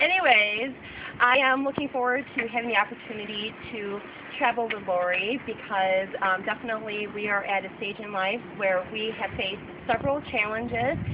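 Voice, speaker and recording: With an American accent, a woman of fairly high pitch speaks at a moderate pace with ordinary pitch variation and big swings in loudness, over noticeable background noise. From Southwestern Michigan, USA. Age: 30s. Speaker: event coordinator. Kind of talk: casting video talk to camera.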